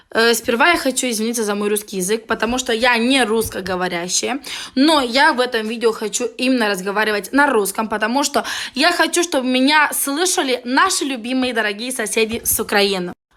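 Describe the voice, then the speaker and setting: A woman speaks at a fairly high pitch with lively intonation and a bright, sharp tone. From Moldova. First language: Romanian (Moldovan) (speaking Russian). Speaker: vlogger. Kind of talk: angry video rant. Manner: halting; heated.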